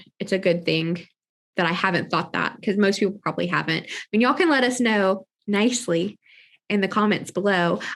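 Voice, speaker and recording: A woman speaks at a moderate pace with vocal fry. Her pitch is medium, with ordinary variation. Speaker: podcast host. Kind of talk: casual chat. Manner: articulate.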